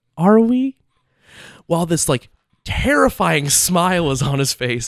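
A man speaks at a high pitch. His pitch swings very widely. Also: dry, close sound with no echo. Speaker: college podcast co-host. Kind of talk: casual chat.

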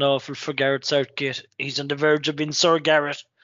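A man's fairly high pitch pairs with a moderate speaking pace. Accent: Irish. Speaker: sports podcast co-host. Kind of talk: casual chat.

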